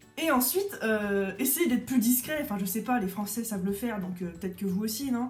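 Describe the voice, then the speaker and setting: Over noticeable background noise, the voice moves at a very fast pace with an animated tone. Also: woman. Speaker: craft artist and YouTuber. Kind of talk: rant vlog.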